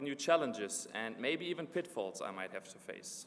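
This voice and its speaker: In a slight German accent, a man's voice shows vocal fry and very wide pitch swings. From Germany. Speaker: graduate student speaker. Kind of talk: commencement speech. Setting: graduation ceremony in a gym with audience.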